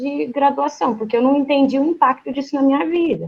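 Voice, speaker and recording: A high voice from a woman, its pitch moving in an ordinary way. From Brazil, Londrina (Paraná). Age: 20s. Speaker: physiotherapist. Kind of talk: interview.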